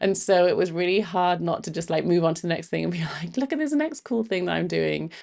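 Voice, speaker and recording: A woman speaks at a very fast pace. She leaves hardly any pauses. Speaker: podcast host and marketer. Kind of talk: casual monologue. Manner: fast when excited; casual, filler-heavy.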